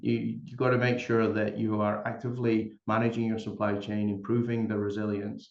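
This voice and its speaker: A man with a Scottish accent, moderate pace and a monotone, flat intonation. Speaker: company executive. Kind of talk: panel discussion.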